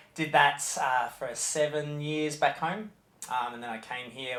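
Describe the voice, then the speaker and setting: A man with an Australian accent talks at a moderate pace. Noticeable background noise runs underneath. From Australia, Melbourne. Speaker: nursery head teacher. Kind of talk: interview. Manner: halting.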